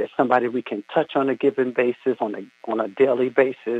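A man's moderately paced delivery, medium-pitched, in an ordinary speaking voice. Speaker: caller. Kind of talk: religious reflection. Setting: phone call.

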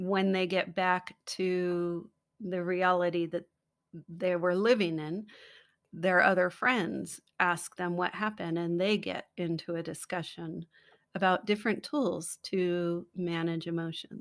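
In a plain, everyday voice with an American accent, a woman speaks fairly slowly at a fairly low pitch, her intonation fairly even. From US, San Francisco. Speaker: children's book author. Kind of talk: casual interview. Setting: remote call.

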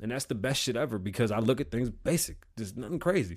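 A man speaks fast at a medium pitch with lively intonation. The recording is very clean, with a silent background.

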